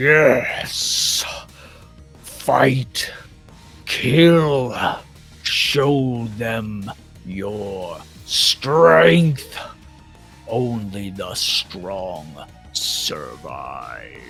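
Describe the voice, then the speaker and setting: A booming, put-on character voice moves at a very slow pace with faint music in the background. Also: man, medium pitch for a man. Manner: commanding, fierce.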